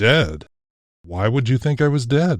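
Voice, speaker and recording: Putting on a character voice, a man talks at a fairly slow pace and medium pitch on a very clean recording with a silent background. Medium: read story. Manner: formal, dignified.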